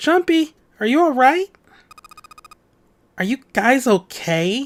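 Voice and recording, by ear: In a put-on character voice, a man talks slowly at an extremely high pitch with big swings in it.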